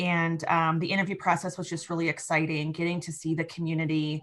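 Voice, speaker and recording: A woman with a Midwestern accent speaks at a fairly quick pace. Her fairly low pitch stays monotone, with flat intonation. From US Midwest. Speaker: economic developer. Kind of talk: interview.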